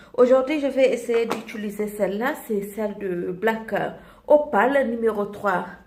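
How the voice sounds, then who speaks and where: A woman's fairly high voice at a very slow pace, ordinary pitch variation and audible room echo. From Côte d'Ivoire. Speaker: beauty vlogger. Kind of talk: makeup tutorial. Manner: animated, repetitive.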